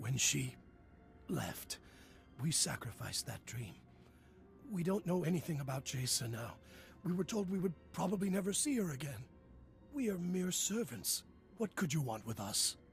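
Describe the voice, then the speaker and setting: Using a raspy, put-on character voice, a man speaks at a fairly high pitch and a moderate pace with long, frequent pauses. Clear background noise runs underneath. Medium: video game. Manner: pleading, humble.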